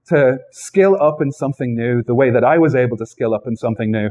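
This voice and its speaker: Here a man speaks with an Irish accent. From Ireland. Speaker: software developer advocate. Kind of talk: tech talk. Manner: conversational.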